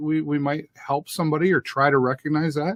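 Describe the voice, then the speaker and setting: A man with a fairly high pitch talks at a fairly quick pace, the sound dry and close with no echo. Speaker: talk show host. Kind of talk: interview. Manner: halting.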